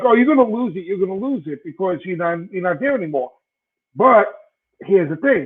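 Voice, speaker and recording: Here is a man with a strong Brooklyn accent and a high voice. He talks at a fairly quick pace with lively intonation. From Brooklyn, New York. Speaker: sports podcast co-host. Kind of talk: casual chat. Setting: live stream.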